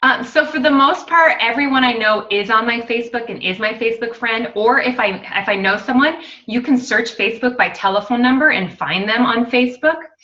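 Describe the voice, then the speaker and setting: With hardly any pauses, a woman with a fairly high pitch speaks at a fairly quick pace amid noticeable background noise and audible room echo. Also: ordinary pitch variation. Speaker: network marketing distributor. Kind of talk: casual team call talk. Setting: video conference call. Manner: fast; animated.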